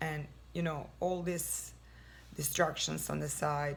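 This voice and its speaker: With a non-native accent, a woman speaks at a fairly slow pace amid audible room echo. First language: not English. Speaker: lifestyle vlogger. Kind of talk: casual advice talk. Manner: halting.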